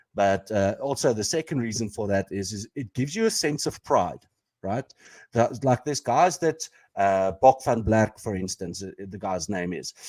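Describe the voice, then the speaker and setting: On a very clean recording with a silent background, a man with a South African accent speaks at a fairly low pitch and a moderate pace. His intonation is lively, his loudness swings widely, and the sound is dry and close with no echo. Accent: Afrikaans South African. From South Africa, Pretoria. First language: Afrikaans. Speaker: podcast co-host. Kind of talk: casual chat. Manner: halting, many fillers.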